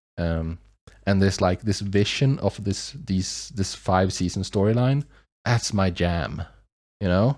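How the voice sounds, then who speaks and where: A man with a non-native accent speaks at a very slow pace, with a fairly low pitch and ordinary pitch variation. His loudness stays very even, and the recording is very clean with a silent background. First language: not English. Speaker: YouTube reaction reviewer. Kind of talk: casual review monologue. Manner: halting, many fillers and restarts.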